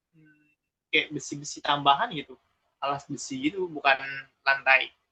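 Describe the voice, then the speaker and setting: His pitch sits fairly high, with ordinary variation. This man's loudness swings widely. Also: moderate pace. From Palembang, South Sumatra, Indonesia. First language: Palembang Malay (speaking Indonesian). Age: 20s. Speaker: interviewee, migrant worker. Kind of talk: interview. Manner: casual, hesitant with fillers.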